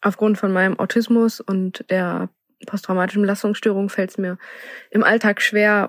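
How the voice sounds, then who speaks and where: In a dry, close recording with no echo, a woman at medium pitch speaks with monotone, flat intonation. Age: 20s. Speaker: assistance dog owner. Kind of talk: personal testimony.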